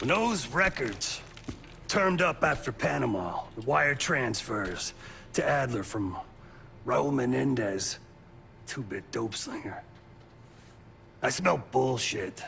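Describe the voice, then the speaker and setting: A raspy, put-on character voice moves at a fairly slow pace with very wide pitch swings and long, frequent pauses, over clear background noise. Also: man, medium pitch for a man. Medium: video game. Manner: gruff, blunt.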